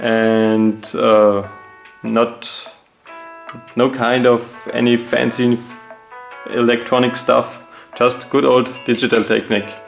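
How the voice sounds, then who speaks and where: Over music in the background, a man speaks very slowly at a medium pitch. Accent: non-native. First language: not English. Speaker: woodworker. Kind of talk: DIY tutorial talk.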